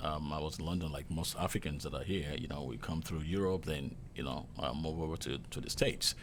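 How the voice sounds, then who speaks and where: A man's very deep, low voice with a Nigerian accent. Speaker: hotel chef. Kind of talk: casual interview.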